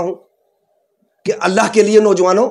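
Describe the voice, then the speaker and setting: A man speaks in an animated tone at a high pitch. His pace is moderate. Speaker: community leader. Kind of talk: political statement to press.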